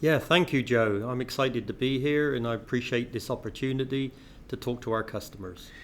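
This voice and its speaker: A man with an English accent talks at a fairly quick pace. His pitch is medium, with ordinary variation. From England (Bath, west of England). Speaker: healthcare company CEO. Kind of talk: interview. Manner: hesitant, many fillers.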